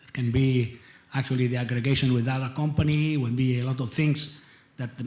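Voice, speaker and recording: A man with an Italian accent speaks at a moderate pace in a medium pitch, his somewhat breathy voice held to a monotone, flat intonation. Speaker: industry executive. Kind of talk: panel discussion. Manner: halting.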